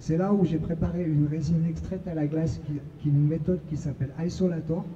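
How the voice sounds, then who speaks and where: Fairly high male speech at a moderate pace, with ordinary pitch variation, audible room echo and noticeable background noise. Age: 30s. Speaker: patient advocate sharing recovery testimony. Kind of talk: testimony at a conference.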